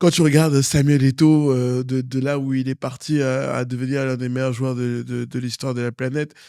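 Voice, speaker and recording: At a moderate pace and with hardly any pauses, a man speaks in a dark, mellow tone at medium pitch. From Cameroon. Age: 30s. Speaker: politician. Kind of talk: interview. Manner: animated; hesitant, many fillers.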